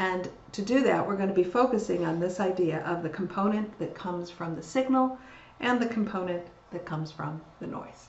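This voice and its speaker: Audible room echo surrounds a woman talking at a fairly quick pace with ordinary pitch variation. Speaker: university lecturer. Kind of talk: lecture. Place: home room. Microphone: webcam.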